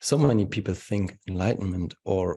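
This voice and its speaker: Over a quiet background, a man speaks at a moderate pace in a somewhat breathy voice with a dark, mellow tone and fairly even intonation. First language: German. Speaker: spiritual teacher. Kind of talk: webinar Q&A answer. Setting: video call webinar.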